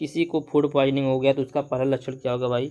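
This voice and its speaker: This man's voice sits fairly high in pitch, with a dark, mellow tone. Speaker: online tutor. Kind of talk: lecture. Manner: slow.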